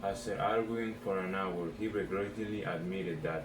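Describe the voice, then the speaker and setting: Over noticeable background noise and audible room echo, a man with a non-native accent speaks at a very deep, low pitch, with ordinary pitch variation and a moderate pace. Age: 18. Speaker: vlogger. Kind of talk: vocabulary practice, reading definitions aloud.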